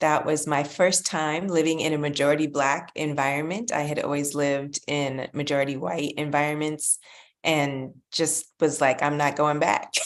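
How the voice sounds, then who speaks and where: A woman's very deep, low pitch in a monotone, flat intonation. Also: moderate pace. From Canada, Ontario (Pickering/Toronto area). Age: 50s. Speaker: children's author. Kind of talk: interview.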